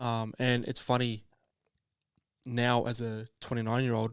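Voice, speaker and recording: A man with an Australian accent talks at a fairly slow pace and a medium pitch. His intonation is monotone and flat. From Australia, western Sydney. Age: 20s. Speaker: app founder, entrepreneur. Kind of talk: podcast interview.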